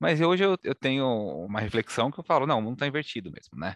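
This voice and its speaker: Against a quiet background, a man talks at a very fast pace with lively intonation, the sound dry and close with no echo. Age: 30s. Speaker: podcast host. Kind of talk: podcast interview.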